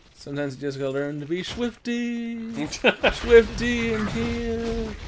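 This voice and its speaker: Mumbling in a put-on character voice, a man with a fairly high pitch speaks at a fairly slow pace over light background noise. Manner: mumbling, uncommitted.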